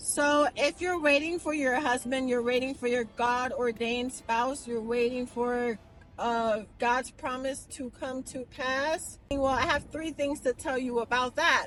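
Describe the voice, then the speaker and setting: Music plays in the background as a woman with a high pitch speaks fairly slowly with hardly any pauses and fairly even intonation. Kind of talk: casual vlog. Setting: in a car. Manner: soft-spoken.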